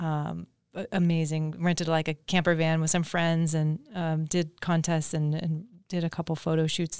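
In a very clean recording with a silent background, a woman speaks with an American accent at a moderate pace. Her very deep, low pitch stays monotone, with flat intonation. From Southern California. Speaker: surf business owner and former pro surfer. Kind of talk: casual interview.

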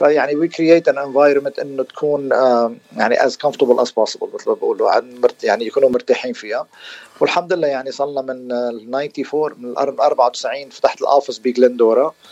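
A man talks at a fairly quick pace. The recording is dry and close, with no echo. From Lebanon, Beirut area. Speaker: dentist. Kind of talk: radio interview.

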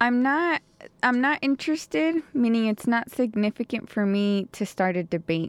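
A normal speaking voice, a woman with a fairly high pitch, lively intonation, moderate pace and very even loudness, dry and close with no echo over a quiet background. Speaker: history graduate student. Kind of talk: radio interview.

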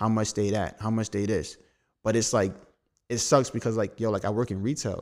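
At a moderate pace and medium pitch, a man speaks in a monotone, flat intonation on a very clean recording with a silent background. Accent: New York. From Brooklyn, New York. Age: 20s. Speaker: designer. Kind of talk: casual chat.

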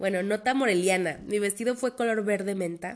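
A woman with a Mexican accent speaks with ordinary pitch variation. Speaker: podcast host. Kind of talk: monologue podcast.

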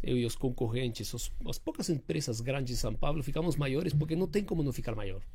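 A man with a Spanish accent speaks fairly quickly in a dark, mellow, somewhat breathy tone, with audible room echo. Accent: foreign accent in Portuguese, Spanish-tinged. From Uruguay, Argentine father, Rio mother. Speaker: building maintenance company director. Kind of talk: interview podcast. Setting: studio.

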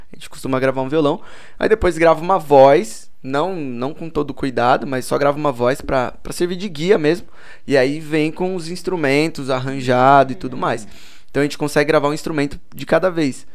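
A man with a normal speaking voice talks in a fairly high pitch. His pace is moderate and his pitch variation ordinary. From Boituva, São Paulo state, Brazil. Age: 20s. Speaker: musician. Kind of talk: casual chat.

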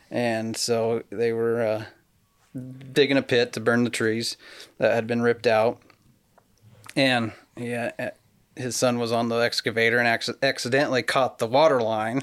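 On a very clean recording with a silent background, a man with a Pacific Northwest accent speaks at a moderate pace in a medium pitch, using monotone, flat intonation and long, frequent pauses. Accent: Pacific Northwest American. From western Washington State. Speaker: pear grower. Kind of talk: casual interview.

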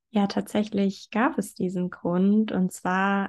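Over a quiet background, a woman with medium pitch speaks at a very slow pace in a somewhat breathy voice. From southern Germany, near Stuttgart. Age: 20s. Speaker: blogger and podcaster on eating disorder recovery. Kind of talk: interview conversation.

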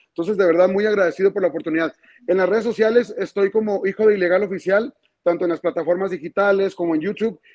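A man talks very fast in a high voice with ordinary pitch variation. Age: 30s. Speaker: regional Mexican music singer. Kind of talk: interview.

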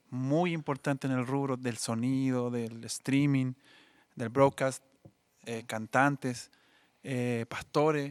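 In a Chilean accent, a man speaks very slowly with long, frequent pauses and fairly even intonation, the sound dry and close with no echo and the recording very clean against a silent background. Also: medium pitch for a man. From Chile, Biobío region (Coronel). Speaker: musician, sound engineer and church minister. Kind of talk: casual interview; sermon-like testimony.

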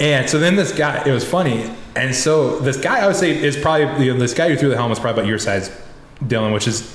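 Very fast and with very even loudness, a man talks at a fairly high pitch with lively intonation, amid noticeable background noise and audible room echo. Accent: American. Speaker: racing photographer. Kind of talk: casual chat.

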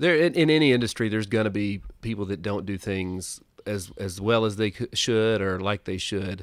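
A man speaks in a Southern US accent at a moderate pace, fairly low in pitch with ordinary pitch variation. The recording is very clean with a silent background. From US South (Tennessee). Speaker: entrepreneur, insurance advisor. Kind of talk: casual interview. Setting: studio.

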